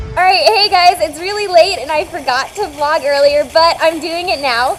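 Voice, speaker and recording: A woman speaks while noticeable background noise carries on around her. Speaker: vlogger and author. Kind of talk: casual vlog. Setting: airport.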